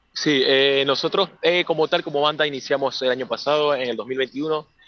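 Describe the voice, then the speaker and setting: This man's voice sits fairly high. He keeps his intonation fairly even. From Venezuela. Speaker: rock band singer and guitarist. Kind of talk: interview. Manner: halting, many repetitions.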